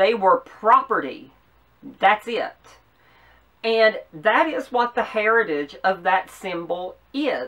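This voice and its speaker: A woman's bright, sharp voice with very wide pitch swings, a very slow pace and long, frequent pauses, against a quiet background. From US South. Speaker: YouTuber. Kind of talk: political commentary vlog. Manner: passionate. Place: home room. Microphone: camera far.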